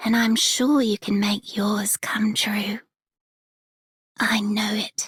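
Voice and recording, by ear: In a put-on character voice, the speaker talks slowly with little pitch movement, a husky, rough edge and a fairly bright tone, in a dry, close sound with no echo. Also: woman, medium pitch for a woman.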